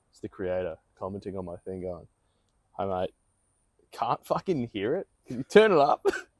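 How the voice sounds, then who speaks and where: Recorded with a dry, close sound and no echo, a man with an Australian accent speaks at a moderate pace and fairly low pitch, with ordinary pitch variation, big swings in loudness, and long, frequent pauses. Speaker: podcast co-host and aspiring voice actor. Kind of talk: casual chat. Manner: animated.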